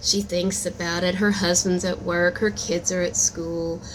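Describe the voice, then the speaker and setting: Clear background noise is audible. A woman talks rather slowly. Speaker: amateur storyteller and aspiring author. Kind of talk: improvised storytelling; casual channel intro. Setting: recording at work. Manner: casual, halting with fillers.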